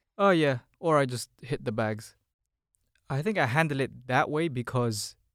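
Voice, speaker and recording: Recorded very cleanly against a silent background, a man with a London accent speaks at a moderate pace and medium pitch, with ordinary pitch variation and a dry, close sound with no echo. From Philippines, raised in London (Hounslow) from age 7. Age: 20s. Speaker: creative business owner. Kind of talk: casual chat. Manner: laid-back.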